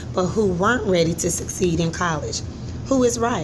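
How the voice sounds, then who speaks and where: A woman speaks at a fairly low pitch with very wide pitch swings. Background noise is noticeable. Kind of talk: article read-aloud, instructional. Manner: expressive, varied intonation and volume.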